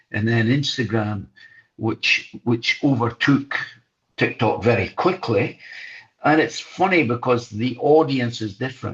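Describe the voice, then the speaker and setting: A man speaks at a fairly slow pace with medium pitch. His voice is somewhat breathy, with ordinary pitch variation. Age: 70s. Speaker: former journalist and broadcaster, boxing coach. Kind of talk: interview. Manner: halting, many repeated words.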